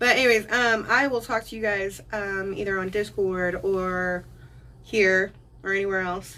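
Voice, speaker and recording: A woman speaks at medium pitch at a fairly slow pace. Her tone is bright and sharp. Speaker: live streamer. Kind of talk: casual chat. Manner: animated.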